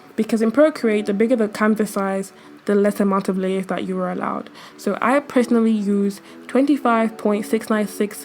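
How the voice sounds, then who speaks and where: Music plays in the background as the speech proceeds at a moderate pace. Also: woman. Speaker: digital artist and tutorial youtuber. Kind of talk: tutorial. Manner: casual.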